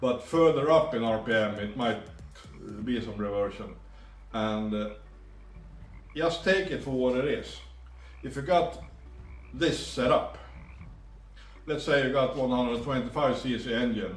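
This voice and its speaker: With a Swedish accent, a man speaks fairly slowly with ordinary pitch variation and long, frequent pauses, in a room with audible echo. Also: medium pitch for a man. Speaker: two-stroke engine tuner. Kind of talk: tutorial. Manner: halting.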